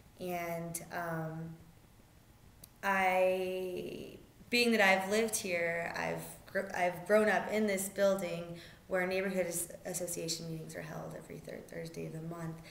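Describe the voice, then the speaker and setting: Fairly slow, monotone and flat speech with big swings in loudness and audible room echo. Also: woman, fairly low pitch for a woman. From Albuquerque, New Mexico. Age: 20s. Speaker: community center director. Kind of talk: interview monologue. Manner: halting with frequent fillers.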